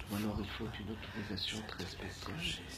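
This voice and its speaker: The delivery is playful and fairly slow. Noticeable background noise runs under the speech. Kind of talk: spoken-word poetry, whimsical alphabet improvisation. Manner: slow, dreamy, playful and halting, with pauses and repetitions; murmured, soft-spoken.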